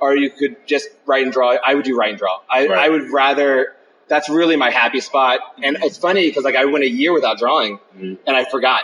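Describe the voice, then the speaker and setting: Very fast speech with hardly any pauses and ordinary pitch variation, against noticeable background noise. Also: man, fairly high pitch for a man. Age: 40s. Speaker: comics writer and artist. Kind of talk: interview. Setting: on site at a comics convention. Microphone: phone recorder, poor quality.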